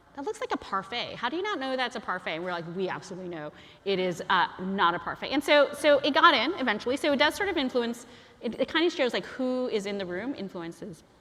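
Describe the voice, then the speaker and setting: A woman speaks at a very fast pace in a high pitch, her voice making very wide pitch swings over noticeable background noise. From Chinese heritage, bilingual upbringing. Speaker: guest lecturer, emoji advocate. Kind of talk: lecture. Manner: casual, many fillers (um, like).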